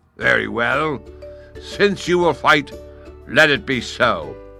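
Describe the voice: Faint music plays behind a man doing a put-on character voice, raised and projected. His pitch is fairly high, and he speaks at a fairly slow pace.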